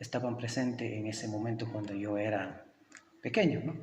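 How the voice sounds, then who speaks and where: A man speaks with an Ecuadorian accent. Room echo is audible, along with noticeable background noise. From Ecuadorian Andes, Kichwa community. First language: Kichwa (speaking Spanish). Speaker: teacher. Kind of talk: interview. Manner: hesitant, many fillers.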